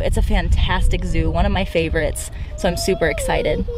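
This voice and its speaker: Over noticeable background noise, a woman's voice comes through in a dry sound with no echo. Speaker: parenting vlogger. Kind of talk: casual vlog chat. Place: car. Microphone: phone near.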